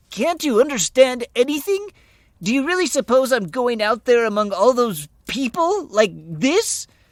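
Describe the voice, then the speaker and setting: A man uses a shrill put-on character voice at an extremely high pitch. His moderate pace comes through in a very clean recording with a silent background. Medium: read story. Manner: shrill, petulant.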